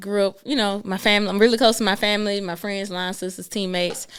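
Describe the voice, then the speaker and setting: A woman speaks very fast in a Southern US accent. Her pitch is medium, and the recording is very clean with a silent background. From US South. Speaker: entrepreneur, financial business owner. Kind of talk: casual chat.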